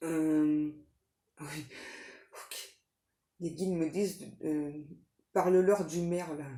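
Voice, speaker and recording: A woman speaks at a very slow pace in a very deep, low voice with flat, monotone intonation, long and frequent pauses, big swings in loudness, and audible room echo. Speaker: tarot reader, psychic medium. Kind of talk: tarot reading. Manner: hesitant, many fillers; soft.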